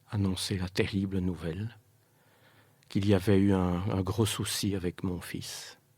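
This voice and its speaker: On a very clean recording with a silent background, a man speaks very slowly in a very deep, low pitch, somewhat breathy and with monotone, flat intonation. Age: 60s. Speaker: bereaved father. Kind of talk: testimony. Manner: halting.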